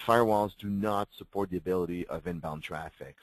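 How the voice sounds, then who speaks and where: Over a quiet background, a man talks in a very deep, low pitch with ordinary pitch variation, the sound dry and close with no echo. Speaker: webinar presenter. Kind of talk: product webinar presentation. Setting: live webinar. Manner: fast; halting, many fillers.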